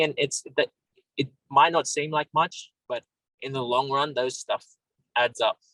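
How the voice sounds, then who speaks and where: A man with an Australian accent, recorded with a dry, close sound and no echo. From Australia, Sydney. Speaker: MMA fighter. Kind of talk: interview.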